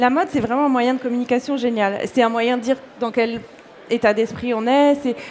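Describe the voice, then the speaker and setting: At a moderate pace, a woman speaks in a high-pitched voice over noticeable background noise. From Corsica. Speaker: fashion blogger and illustrator. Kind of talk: interview.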